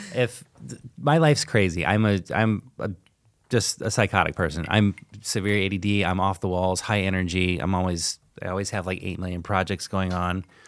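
Very deep, low pitch from a man at a moderate pace, fairly even intonation, on a very clean recording with a silent background. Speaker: restaurant owner. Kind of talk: casual chat.

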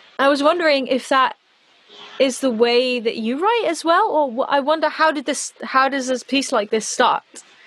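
Against noticeable background noise, a woman speaks in a high voice with lively intonation at a moderate pace. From Netherlands, Amsterdam, English parents. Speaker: pop singer-songwriter. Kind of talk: casual chat. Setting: home studio, remote call.

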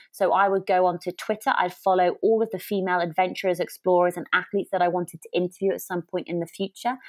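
A woman with an English accent speaks very fast at medium pitch, her intonation monotone and flat. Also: dry, close sound with no echo. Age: 30s. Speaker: podcast host and adventurer. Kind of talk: casual chat.

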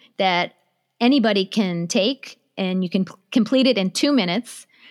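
An ordinary speaking voice with an American accent, lively intonation and a moderate pace. The recording is very clean with a silent background. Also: woman. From USA. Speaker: business consultant. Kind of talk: interview.

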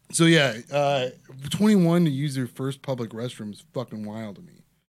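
An ordinary speaking voice at a moderate pace, with lively intonation, on a very clean recording against a silent background. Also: man. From Ohio. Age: 30s. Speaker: stand-up comedian and podcast host. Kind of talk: casual chat.

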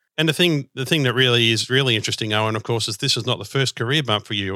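Very fast and bright, sharp in tone, a man speaks at medium pitch with ordinary pitch variation, the sound dry and close with no echo in a very clean recording with a silent background. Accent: Australian. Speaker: podcast host. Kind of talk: podcast interview; scripted announcement.

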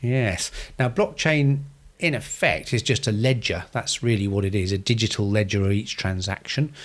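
In a very clean recording with a silent background, a man with a British accent speaks at medium pitch and a moderate pace, with ordinary pitch variation and very even loudness. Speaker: financial planner, podcast co-host. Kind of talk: casual finance podcast chat.

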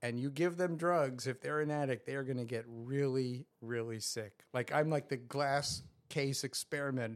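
A man with an American accent, a normal speaking voice and medium pitch, at a moderate pace with hardly any pauses, on a very clean recording with a silent background. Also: ordinary pitch variation. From New York suburbs, US. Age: 60s. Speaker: professor and person in recovery.

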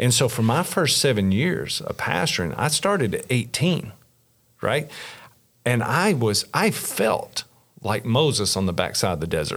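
Using very wide pitch swings, a man with a Kentucky accent talks at a fairly slow pace and medium pitch. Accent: Kentucky Southern US. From Kentucky, rural south central. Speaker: pastor. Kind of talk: casual interview.

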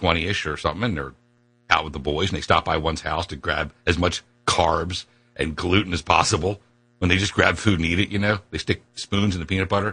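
Talking at a fairly quick pace, a man with an American accent has a very deep, low pitch. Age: 50s. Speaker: talk radio host. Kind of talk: radio talk show chat. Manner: animated.

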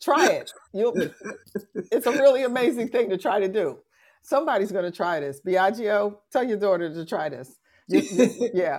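Speaking at a medium pitch and moderate pace, a woman makes very wide pitch swings. Her voice moves up and down a great deal. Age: 60s. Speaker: podcast host, relationship educator. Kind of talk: casual chat. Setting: live-streamed audio room with audience.

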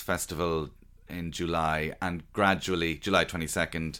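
In an Irish accent, a man speaks at a moderate pace with a very deep, low pitch and a bright, sharp tone. The recording is very clean, with a silent background. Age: 40s. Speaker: stand-up comedian. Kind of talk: interview. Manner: halting.

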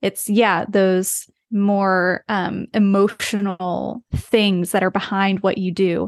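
A woman with an American accent at a very slow pace, hardly any pauses, monotone flat intonation, and a dry, close sound with no echo against a quiet background. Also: medium pitch for a woman. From US, rural West Virginia. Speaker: brand designer, design studio founder. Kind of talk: casual interview.

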